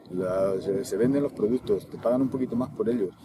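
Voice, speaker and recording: A man talks at a very fast pace with a medium pitch and ordinary pitch variation. There is noticeable background noise. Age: 60s. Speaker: bull breeder. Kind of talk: interview. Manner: halting.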